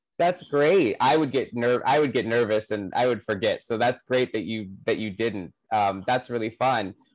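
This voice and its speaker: A man talks at a moderate pace with hardly any pauses and ordinary pitch variation. The sound is dry with no echo, over a quiet background. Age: young. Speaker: interviewer and actor; interviewer, actor. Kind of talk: casual chat. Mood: friendly, warm. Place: home room. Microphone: earbuds.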